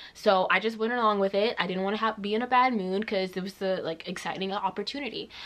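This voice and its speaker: Speaking very fast, a woman with a medium-pitched voice sounds animated. Noticeable background noise sits behind her. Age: 20s. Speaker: vlogger. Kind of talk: story time vlog. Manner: casual, animated.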